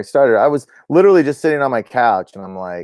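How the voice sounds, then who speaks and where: A man's dark, mellow voice at a fairly quick pace, dry and close with no echo. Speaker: duck hunting channel host. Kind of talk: live stream chat. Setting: at home, live stream. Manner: fast.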